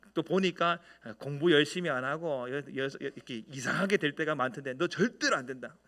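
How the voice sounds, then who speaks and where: Amid noticeable background noise, a man speaks at a moderate pace and a fairly high pitch with ordinary pitch variation. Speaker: senior pastor. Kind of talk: sermon. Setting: church.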